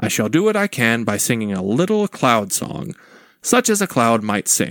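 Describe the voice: What you hear is plain reading aloud.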